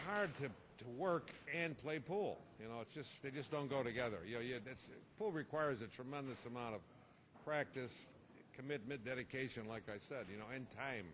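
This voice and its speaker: A man speaks at a fairly quick pace and a medium pitch. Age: 60s. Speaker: pool player. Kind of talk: interview. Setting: TV interview. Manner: casual, halting with repetitions.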